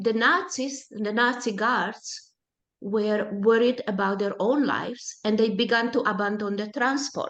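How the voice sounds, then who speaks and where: At a fairly slow pace, a woman with a Hungarian accent speaks with a fairly high pitch and ordinary pitch variation. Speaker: Holocaust survivors' daughter, presenter. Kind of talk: personal testimony talk. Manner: halting, with self-corrections.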